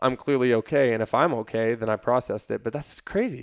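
Recorded very cleanly against a silent background with a dry, close sound and no echo, a man speaks in a normal speaking voice at medium pitch, with ordinary pitch variation and a fairly quick pace. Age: 20s. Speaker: strength and conditioning coach, fitness influencer. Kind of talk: casual chat.

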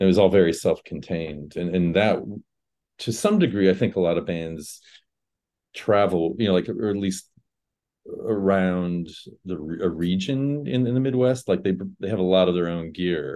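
Speaking with an American accent, a man uses a very deep, low pitch with ordinary pitch variation. Long, frequent pauses break up his speech. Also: moderate pace. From Indiana, Fort Wayne. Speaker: rock musician. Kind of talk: casual interview.

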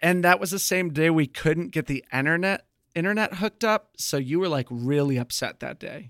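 A man's fairly high voice, a plain, everyday voice at a moderate pace with ordinary pitch variation, hardly any pauses and a dry, close sound with no echo. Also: very clean recording, silent background. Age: 30s. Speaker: podcast co-host. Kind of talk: casual chat.

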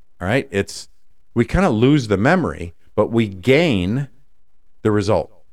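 A man speaks fairly slowly with very wide pitch swings, very even loudness, and long, frequent pauses. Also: medium pitch for a man, very clean recording, silent background. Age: 50s. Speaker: podcast host and life coach. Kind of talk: solo podcast monologue.

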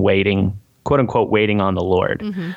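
With an American accent, a man talks at a moderate pace in an ordinary speaking voice over a quiet background. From Missouri (Springfield). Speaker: musician, former worship and youth pastor. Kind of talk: casual interview chat.

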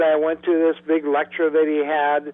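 Music in the background behind a man's moderately paced talking. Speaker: spiritual counselor and teacher. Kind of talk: interview.

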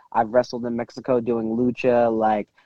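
With an American accent, a man has an unremarkable speaking voice. He talks at a moderate pace and a medium pitch. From Michigan, Detroit area. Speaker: professional wrestler. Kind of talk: casual interview.

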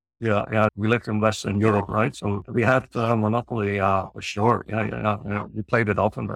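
The voice has vocal fry and monotone, flat intonation, moving at a fairly quick pace with hardly any pauses. The sound is dry and close, with no echo. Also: man, fairly low pitch for a man. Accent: Dutch. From northern Netherlands. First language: Dutch. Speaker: psychologist and researcher. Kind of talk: casual interview.

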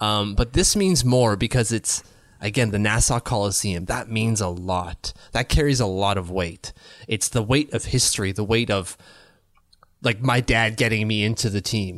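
With a Canadian accent, a man speaks at a moderate pace in an ordinary speaking voice, fairly low in pitch with ordinary pitch variation, in a very clean recording with a silent background. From Ottawa, Canada. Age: 30s. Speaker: hockey podcast co-host. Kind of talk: casual chat.

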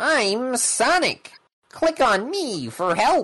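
In a put-on character voice, the speaker talks at a very slow pace with a fairly high pitch. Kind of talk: game prompt. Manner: eager, upbeat.

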